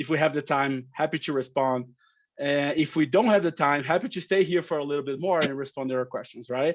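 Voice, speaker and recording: A man speaks with a Brazilian accent. His pitch is fairly high and varies in an ordinary way. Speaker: company operations director. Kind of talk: webinar presentation. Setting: video call webinar. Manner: halting, many fillers.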